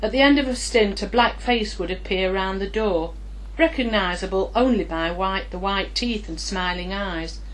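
There's noticeable background noise behind this woman. She talks at a moderate pace. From Nottinghamshire. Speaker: writer. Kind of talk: memoir reading.

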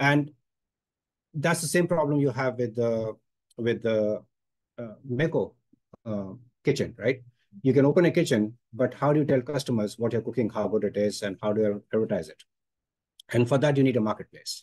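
Over a quiet background, the speech moves at a moderate pace with ordinary pitch variation and long, frequent pauses. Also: man. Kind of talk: workshop presentation. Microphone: video call.

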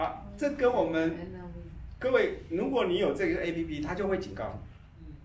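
A man talks at a moderate pace. Light background noise and audible room echo surround him. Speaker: class teacher. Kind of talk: lecture. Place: meeting room.

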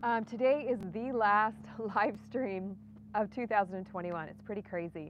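A woman's voice with ordinary pitch variation, dry with no echo. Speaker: gardening channel host. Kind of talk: casual live stream chat. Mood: cheerful, relaxed. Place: garden. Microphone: phone near.

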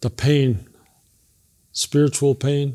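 A man's somewhat breathy, dark, mellow voice, monotone and flat in intonation, at a very slow pace over a quiet background. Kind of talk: interview answer. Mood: calm, reflective. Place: hall.

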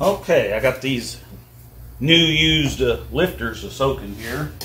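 Light background noise sits behind a man speaking. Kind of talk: casual how-to vlog chat. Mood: relaxed, easygoing. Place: garage. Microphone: phone near.

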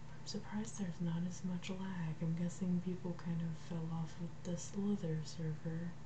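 The speech has a moderate pace and hardly any pauses, with noticeable background noise. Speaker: gamer. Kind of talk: casual gameplay commentary. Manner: whispered.

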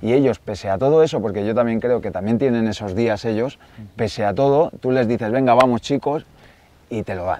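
In a dry recording with no echo, a man speaks at a medium pitch and a fairly quick pace, his tone dark and mellow. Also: ordinary pitch variation. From Catalonia, near Barcelona. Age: 30s. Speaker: woodcock hunter; guest. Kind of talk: casual interview chat. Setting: outdoors in the Pyrenees. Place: forest.

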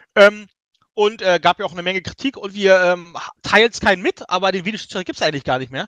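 A man talks at a very fast pace with a bright, sharp tone. The sound is dry and close with no echo, and his loudness swings widely. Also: ordinary pitch variation. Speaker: football talk panelist. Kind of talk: casual chat.

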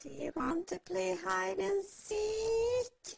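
In a cartoonish character voice, the speaker goes at a very slow pace. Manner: eerie, taunting, repetitive.

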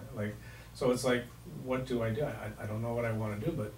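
There is audible room echo and light background noise as a man speaks at a fairly quick pace with ordinary pitch variation. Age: 60s. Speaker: community radio host. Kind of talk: radio interview. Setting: radio studio. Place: studio.

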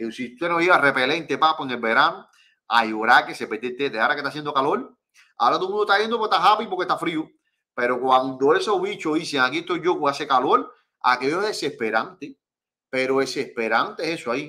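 Against a quiet background, a man speaks at a very fast pace in a fairly high pitch, with a bright, sharp, animated tone and very wide pitch swings. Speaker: fishing channel host. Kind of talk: live stream chat. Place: home room.

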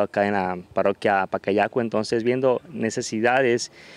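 The speech is monotone and flat, with a dry sound and no echo. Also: man. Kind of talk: interview answer. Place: street. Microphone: handheld.

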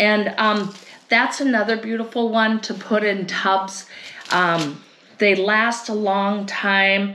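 A woman speaks slowly at a medium pitch, her tone bright and sharp and her intonation fairly even. She takes few pauses, and audible room echo surrounds her voice.

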